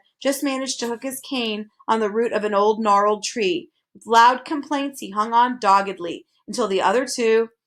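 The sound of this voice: An unforced reading voice sounds over a quiet background.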